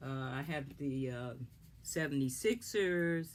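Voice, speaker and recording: A woman's very deep, low voice at a fairly slow pace with ordinary pitch variation. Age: 70s. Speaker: craft tutorial maker. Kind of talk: tutorial. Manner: halting, many fillers.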